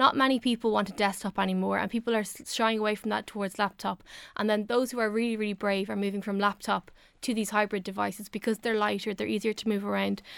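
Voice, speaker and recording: A woman with an Irish accent at a very fast pace, flat and monotone in intonation, in a very clean recording with a silent background and a dry, close sound with no echo. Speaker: technology reviewer. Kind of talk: radio chat. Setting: studio.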